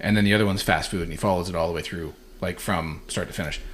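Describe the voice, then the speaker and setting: Very fast-paced male speech. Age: 40s. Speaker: podcast co-host, jiu-jitsu practitioner. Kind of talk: casual chat.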